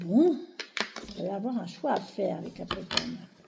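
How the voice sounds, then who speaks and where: Noticeable background noise under a woman speaking. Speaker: tarot card reader. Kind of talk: tarot reading.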